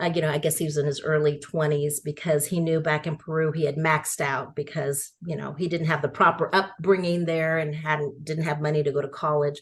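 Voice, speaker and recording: A woman's very deep, low voice, somewhat breathy and monotone, flat in intonation, at a fairly quick pace with hardly any pauses. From San Francisco and suburban Texas. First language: Spanish. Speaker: education nonprofit founder. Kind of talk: interview. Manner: conversational.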